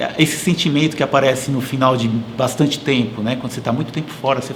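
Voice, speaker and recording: Over noticeable background noise and audible room echo, a man talks at a very fast pace, medium-pitched with fairly even intonation. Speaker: engineering professor and consultant. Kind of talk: interview conversation. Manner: hesitant, many fillers.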